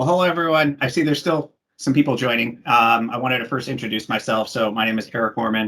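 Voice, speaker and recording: Talking very fast, a man with an American accent has a bright, sharp tone and ordinary pitch variation. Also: medium pitch for a man, hardly any pauses. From Washington State, US. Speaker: technical specialist. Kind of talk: webinar presentation.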